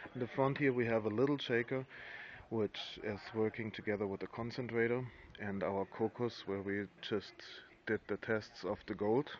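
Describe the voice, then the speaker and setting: Speaking at a fairly slow pace, a man keeps a medium pitch and fairly even intonation. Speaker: gold mine operator. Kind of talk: walking site tour narration. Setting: outdoors at a mine plant. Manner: halting, with hesitations.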